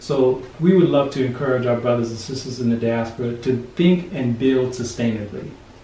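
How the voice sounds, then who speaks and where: A man with an American accent talks at a moderate pace, with hardly any pauses. Light background noise and audible room echo fill the recording. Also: ordinary pitch variation. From United States. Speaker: diaspora returnee, NGO worker; interviewee. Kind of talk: interview. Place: home room. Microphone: camera far.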